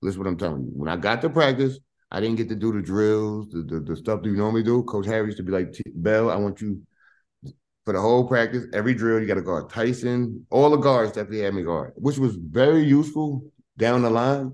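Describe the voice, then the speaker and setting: A man speaks at a very fast pace with a New York accent. His intonation is lively. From US Northeast (Hempstead, Long Island, New York). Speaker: former college basketball player. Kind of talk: casual interview. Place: home room. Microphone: video call.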